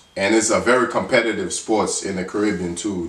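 At a moderate pace, a man speaks in a fairly low pitch, with light background noise and audible room echo. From Dominica. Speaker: sports YouTuber. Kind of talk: casual vlog monologue; casual vlog chat. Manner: halting with fillers. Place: home room. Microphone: phone near.

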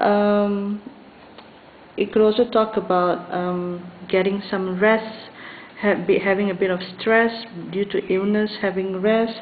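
Against noticeable background noise, a woman speaks at a very slow pace and medium pitch, with monotone, flat intonation and long, frequent pauses. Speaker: tarot reader. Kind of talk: tarot reading to camera. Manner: hesitant, many fillers.

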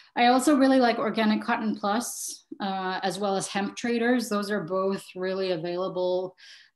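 This is a plain, everyday voice at a moderate pace with ordinary pitch variation. The background is quiet. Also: woman. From Montreal, Canada; Quebec, Canada. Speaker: fashion designer and sustainability professor; sustainability professor. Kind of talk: online workshop presentation. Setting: video call. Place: home room. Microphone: video call.

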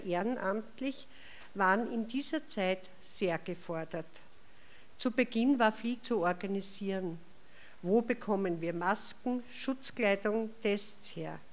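A very slow pace with an Austrian accent and ordinary pitch variation. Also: woman. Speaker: chair of hospice association. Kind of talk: welcome speech. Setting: stage with audience. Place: hall.

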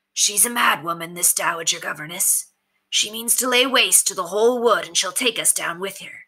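A female-sounding voice at medium pitch puts on a character voice. The pace is moderate. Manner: steely, direct, rousing.

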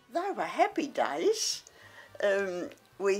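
A woman speaks at a very slow pace in an Australian accent. Her pitch is medium and her intonation lively. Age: 80s+. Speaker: retired model and office worker. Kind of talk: interview. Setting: at home.

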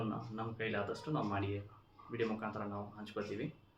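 Noticeable background noise fills the clip, along with audible room echo. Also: man. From Chikkaballapur district, Karnataka. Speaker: cooking YouTuber. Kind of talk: channel intro vlog.

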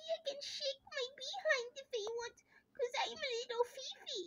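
This is a put-on character voice, squeaky and at an extremely high pitch. It moves at a moderate pace. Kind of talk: playful character voice. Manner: playful.

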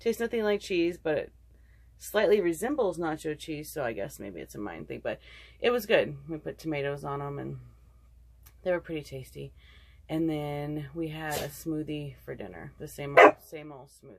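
Her loudness swinging widely, a woman talks at a moderate pace. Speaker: vlogger. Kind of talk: casual vlog chat. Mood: relaxed, chatty. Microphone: phone near.

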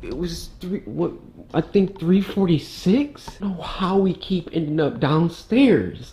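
Here a man speaks at a high pitch. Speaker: gaming vlogger. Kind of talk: casual vlog chat. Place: home room. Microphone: phone near.

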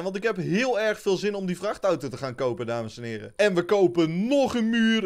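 The speaker's pitch swings very widely, with hardly any pauses. The background is quiet. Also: man. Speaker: gaming youtuber. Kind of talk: gameplay commentary.

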